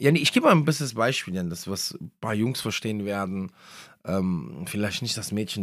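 Fairly low male speech, fairly quick in pace, captured very cleanly against total silence. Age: 30s. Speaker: Islamic podcast speaker. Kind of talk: religious talk. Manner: hesitant with many fillers.

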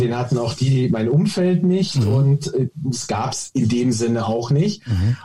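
This man's voice has a dark, mellow tone, is somewhat breathy, and carries lively intonation. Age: 40s. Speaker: golf coach and app founder. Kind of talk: interview.

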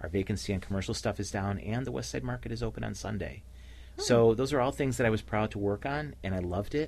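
Fairly low in pitch with vocal fry, a man races along at a very fast pace, his pitch swinging very widely. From Cleveland, Ohio. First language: Slovenian (bilingual). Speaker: nonprofit leader, former city official. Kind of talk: radio interview. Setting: radio studio.

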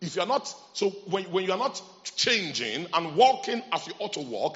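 Animated in tone, a man with a high pitch swings his pitch very widely at a moderate pace over noticeable background noise. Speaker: preacher. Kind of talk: sermon. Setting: church with congregation. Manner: animated, call-and-response; emphatic, repetitive.

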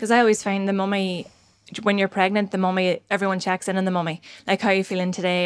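A woman at a very fast pace, medium in pitch, with monotone, flat intonation. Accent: Northern Irish. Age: 30s. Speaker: podcast host. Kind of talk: casual chat.

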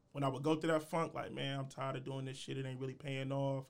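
Speaking at a fairly quick pace, a man has an unremarkable speaking voice, a fairly high pitch and fairly even intonation. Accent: American. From US Midwest, Columbus, Ohio. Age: young. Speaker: podcaster. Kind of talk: casual chat.

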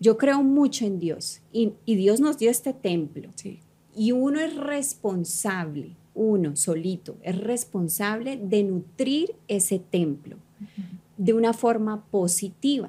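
At a very slow pace, a woman with a medium pitch and a dark, mellow tone speaks somewhat breathily with lively intonation. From Colombia (Cali), childhood partly in New York. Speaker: fitness coach and entrepreneur. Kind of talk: casual interview chat. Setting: studio.

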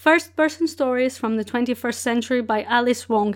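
High-pitched woman's voice with ordinary pitch variation, very clean recording against a silent background. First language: Portuguese. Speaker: book podcast host. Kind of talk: solo podcast monologue, book reviews.

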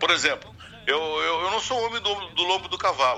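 A man's voice against noticeable background noise. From Uruguaiana, Rio Grande do Sul, Brazil. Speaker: singer-songwriter. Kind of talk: casual interview.

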